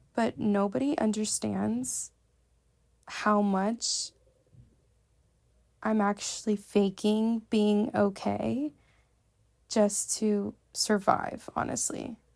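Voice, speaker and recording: The speech is very slow, with long, frequent pauses and ordinary pitch variation, on a very clean recording with a silent background. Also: woman, medium pitch for a woman. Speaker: podcast co-host. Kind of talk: personal monologue. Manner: casual, filler-heavy.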